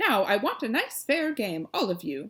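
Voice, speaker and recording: Using a put-on character voice, a woman speaks at a moderate pace in a fairly high pitch with very wide pitch swings. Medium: read story. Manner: brisk, commanding.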